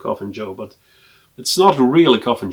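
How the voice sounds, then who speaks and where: A man's medium-pitched voice with a Swedish accent, moderate pace and lively intonation. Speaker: film collector and video blogger. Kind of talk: casual collection review to camera. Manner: hesitant, with frequent fillers.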